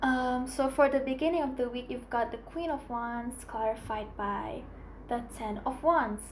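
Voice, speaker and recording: Her voice high in pitch, a woman talks at a fairly slow pace with fairly even intonation, with audible room echo around her. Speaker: tarot reader. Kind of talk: tarot reading.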